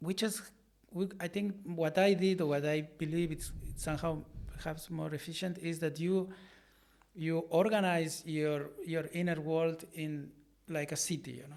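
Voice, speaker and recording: A man with a high pitch and fairly even intonation. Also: moderate pace. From Argentina. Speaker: artist and art teacher. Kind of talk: interview. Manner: halting, with many repetitions.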